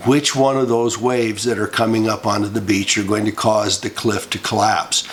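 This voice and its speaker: A man's medium-pitched voice with an American accent and fairly even intonation, over noticeable background noise. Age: 70s. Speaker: political commentary vlogger. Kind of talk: monologue. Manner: halting.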